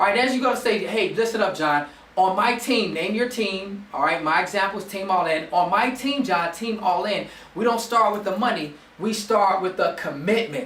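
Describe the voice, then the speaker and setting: With noticeable background noise and audible room echo, a man talks in an animated tone at a high pitch, with ordinary pitch variation. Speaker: network marketing team leader. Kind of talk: motivational training talk. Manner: fast.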